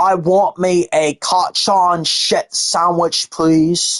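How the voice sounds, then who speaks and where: A female-sounding voice in a raspy put-on character voice with an English accent speaks very slowly at a fairly low pitch. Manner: mocking.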